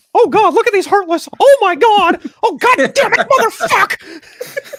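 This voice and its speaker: An extremely high-pitched, put-on character voice at a moderate pace. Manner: exclaiming in panic.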